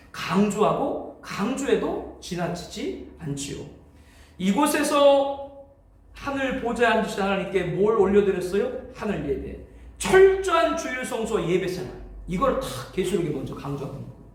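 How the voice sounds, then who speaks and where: A man speaks in a high pitch at a moderate pace, with very wide pitch swings and big shifts in loudness. Noticeable background noise and audible room echo are present. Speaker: pastor. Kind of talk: lecture.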